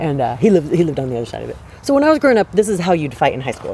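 Very fast speech over noticeable background noise. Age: 40s. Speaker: podcast co-host. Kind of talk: casual chat. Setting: outdoors in a park.

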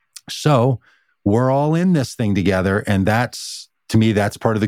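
In a normal speaking voice, a man talks at a fairly slow pace on a very clean recording with a silent background. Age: 50s. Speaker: pastor and author. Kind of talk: casual chat.

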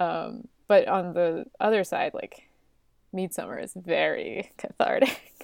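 A woman talks at a very slow pace. Her loudness swings widely from moment to moment. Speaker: podcast host. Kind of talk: casual chat.

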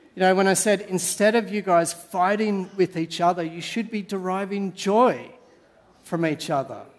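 A man with an Australian accent talks at a moderate pace, his pitch high and his intonation fairly even. Noticeable background noise runs underneath. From Sydney, Australia. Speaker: pastor. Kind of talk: sermon. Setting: church.

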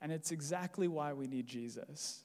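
A man with a General American accent has a plain, everyday voice and a fairly high pitch. He speaks at a fairly slow pace on a very clean recording with a silent background. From US. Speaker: preacher. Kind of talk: sermon. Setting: church.

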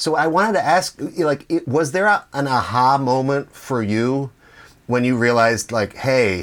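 With a normal speaking voice, a man talks at a fairly slow pace, medium in pitch with ordinary pitch variation. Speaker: podcast host. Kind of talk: interview.

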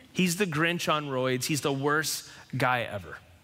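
This man's voice is fairly high, with a bright, sharp tone and lively intonation. Room echo can be heard. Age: 40s. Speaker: pastor. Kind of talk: sermon.

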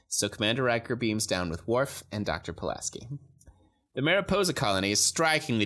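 A man with a fairly low pitch and a bright, sharp tone talks at a very fast pace. His pitch swings very widely, and the recording is very clean with a silent background. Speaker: podcast co-host. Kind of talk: casual chat; reading aloud. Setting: studio. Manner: loud.

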